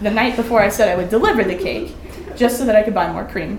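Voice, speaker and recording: A woman with an American accent talks at a very fast pace amid noticeable background noise and audible room echo. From US Midwest, Omaha, Nebraska. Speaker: college student. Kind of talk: reading aloud. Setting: stage with audience at a winery.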